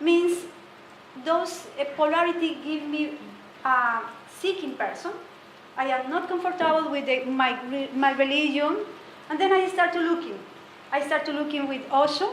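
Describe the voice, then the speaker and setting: A woman with a Spanish accent, high in pitch with ordinary pitch variation, at a moderate pace with long, frequent pauses and audible room echo. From Colombia. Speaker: meditation teacher. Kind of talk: talk to a group. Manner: halting.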